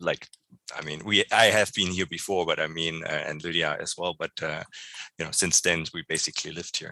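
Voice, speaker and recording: The speech moves at a fairly quick pace, with a dry, close sound and no echo. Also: man. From East Germany. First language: German. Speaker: church member. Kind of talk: interview. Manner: halting.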